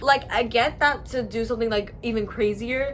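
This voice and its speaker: Over noticeable background noise, a woman talks in an animated tone at a fairly high pitch. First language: Spanish. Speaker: booktuber. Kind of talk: casual review monologue.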